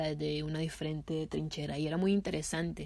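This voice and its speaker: A woman's dark, mellow voice moves at a moderate pace on a very clean recording with a silent background. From Nicaragua. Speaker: musician. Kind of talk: interview testimony.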